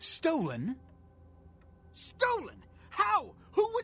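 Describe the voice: A man puts on a character voice at an extremely high pitch with very wide pitch swings. His tone is bright and sharp, and his pace is very slow.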